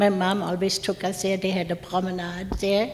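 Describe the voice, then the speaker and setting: At a fairly slow pace, a woman speaks in a medium pitch against noticeable background noise. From Germany (Mainz). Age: 70s. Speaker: war survivor speaker. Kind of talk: talk.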